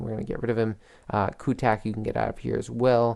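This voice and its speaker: A man speaks quietly. His pace is moderate. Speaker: gaming commentator. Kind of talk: gameplay commentary.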